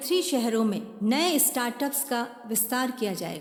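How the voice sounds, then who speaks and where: Over noticeable background noise, a woman speaks in a high pitch with lively intonation. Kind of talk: political campaign voice-over.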